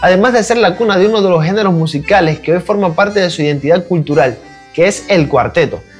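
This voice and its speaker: Music in the background under a man's high-pitched voice at a very fast pace, with ordinary pitch variation and very even loudness. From Cuba. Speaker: YouTube reaction creator. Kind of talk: video intro to camera.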